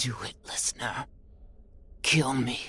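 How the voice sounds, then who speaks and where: This is a put-on character voice with a raspy edge. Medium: video game. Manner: solemn, measured, otherworldly.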